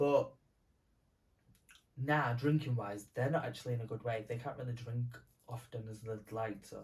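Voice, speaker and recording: Somewhat breathy speech moves at a moderate pace with fairly even intonation, big swings in loudness and long, frequent pauses. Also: man, medium pitch for a man. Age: 20s. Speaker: podcast co-host. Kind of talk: casual chat. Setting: at home, sleepover. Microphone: poor audio, mic recording not saved.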